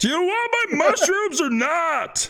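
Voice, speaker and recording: A put-on character voice pitched extremely high. It moves at a fairly slow pace. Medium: actual play. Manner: sarcastic, condescending, grumpy.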